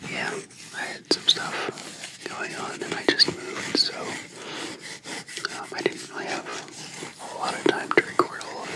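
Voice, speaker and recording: Someone is whispering at a moderate pace over noticeable background noise. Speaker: ASMR creator. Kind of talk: whispered ASMR Q&A. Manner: whispered.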